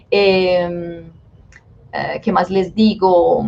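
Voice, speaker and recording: A woman speaks in a medium pitch. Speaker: dance teacher. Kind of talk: webinar lecture. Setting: live online webinar. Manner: fast.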